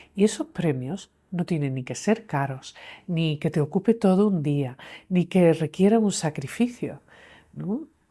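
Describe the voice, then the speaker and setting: With lively intonation, a woman speaks at a fairly slow pace in a fairly low, somewhat breathy voice of dark, mellow tone, on a very clean recording with a silent background. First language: English (speaking Spanish). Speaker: clinical psychologist and author. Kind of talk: interview conversation.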